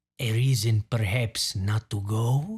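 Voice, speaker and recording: In a put-on character voice, a man speaks fairly slowly at a medium pitch. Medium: read story. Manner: formal, deferential.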